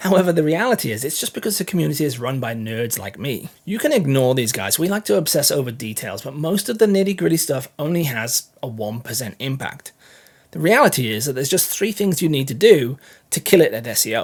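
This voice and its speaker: Pitched fairly high, a man talks at a fairly quick pace. His somewhat breathy voice moves through very wide pitch swings. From England. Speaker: content marketing educator. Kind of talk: tutorial.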